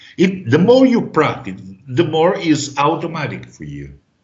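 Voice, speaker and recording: A man speaks at a fairly slow pace with audible room echo around him. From Italy. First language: Italian. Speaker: trading teacher. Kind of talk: online class.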